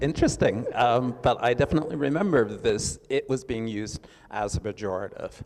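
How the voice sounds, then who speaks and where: An unremarkable speaking voice with an American accent moves at a fairly quick pace. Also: man, medium pitch for a man, ordinary pitch variation, hardly any pauses. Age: 60s. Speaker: artist. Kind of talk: panel discussion.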